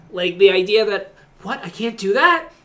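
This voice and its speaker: Noticeable background noise is present. Delivery holds a moderate pace. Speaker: co-host. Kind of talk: casual chat.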